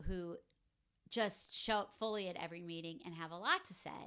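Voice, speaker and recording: A woman with a medium pitch and a bright, sharp tone speaks at a moderate pace, with big swings in loudness. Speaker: life coach and podcast host. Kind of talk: solo podcast monologue. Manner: casual, conversational.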